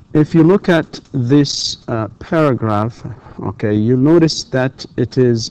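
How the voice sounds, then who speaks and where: A man speaks at a medium pitch with an Arabic accent, his tone dark and mellow. His pace is fairly slow with ordinary pitch variation, and the sound is dry and close with no echo. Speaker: university lecturer. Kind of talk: lecture. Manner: hesitant, many fillers.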